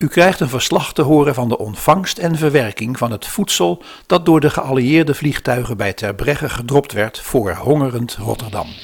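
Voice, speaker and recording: This man has an unremarkable speaking voice, medium pitch, lively intonation and a moderate pace. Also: hardly any pauses. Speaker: narrator of the historical podcast. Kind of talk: scripted narration.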